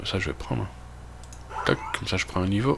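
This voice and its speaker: A man with a Belgian accent and a fairly low pitch speaks with lively intonation over noticeable background noise. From Belgium. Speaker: gaming youtuber. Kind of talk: let's play commentary. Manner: casual, with many fillers.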